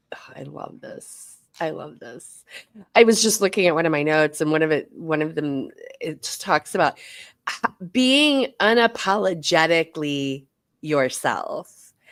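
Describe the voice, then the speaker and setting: Lively intonation and big swings in loudness come at a fairly slow pace. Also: woman, fairly low pitch for a woman. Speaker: podcast co-host. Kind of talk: casual chat.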